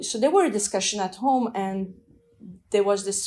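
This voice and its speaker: This woman's voice sits at a medium pitch, with a dark, mellow tone and ordinary pitch variation. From Afghanistan and France. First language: French and Dari. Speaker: immigrant sharing her story. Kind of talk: personal testimony. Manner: reflective, with hesitations.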